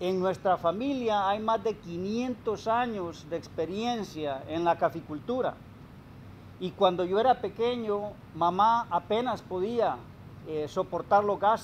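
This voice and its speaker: A man's high voice at a very slow pace, with ordinary pitch variation and light background noise. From Honduras, Copán; Honduras. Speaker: coffee grower and retired executive. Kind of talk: interview. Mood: reflective, personal life story. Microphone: lapel.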